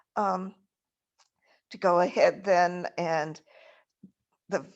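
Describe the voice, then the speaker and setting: Against a quiet background, a woman with a medium pitch speaks very slowly and with fairly even intonation. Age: 80s+. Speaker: retired biology professor and phage researcher. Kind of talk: casual chat. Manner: halting.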